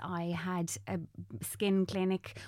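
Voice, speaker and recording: On a very clean recording with a silent background, a woman with an Irish accent speaks in a dark, mellow tone with monotone, flat intonation. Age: 30s. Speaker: makeup artist and content creator. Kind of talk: casual interview chat.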